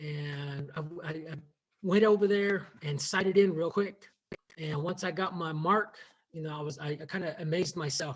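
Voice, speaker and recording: The speaker has an American accent and fairly even intonation. The pace is moderate, with big swings in loudness. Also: man, fairly high pitch for a man. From Navajo Nation, US Southwest. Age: 50s. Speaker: contributing author, educator. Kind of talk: personal reflection at book launch. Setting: video call. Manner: halting, many repetitions and fillers.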